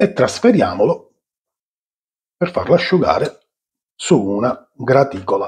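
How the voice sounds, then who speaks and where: With long, frequent pauses, a man talks at a fairly slow pace. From Sicily. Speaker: cooking channel host. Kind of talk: cooking tutorial. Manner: animated. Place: kitchen.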